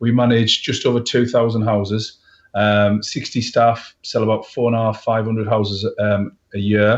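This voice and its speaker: Against a quiet background, a man with a northeast English accent speaks at a moderate pace in a monotone, flat intonation, his loudness very even. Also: medium pitch for a man. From northeast England, County Durham. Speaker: letting agency owner. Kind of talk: live interview.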